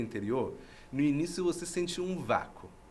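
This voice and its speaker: A man with a fairly high pitch, vocal fry, and a moderate pace. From Iran. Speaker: university professor. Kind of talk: podcast interview. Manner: halting, with false starts.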